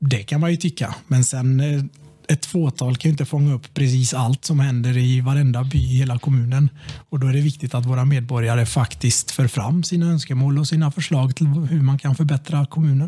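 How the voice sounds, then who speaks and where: Against noticeable background noise yet with a dry, close sound and no echo, a man speaks at a medium pitch and moderate pace, with very even loudness and fairly even intonation. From Sweden, Tranemo (Västergötland). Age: 30s. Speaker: local politician. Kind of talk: casual chat. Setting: office rigged as studio.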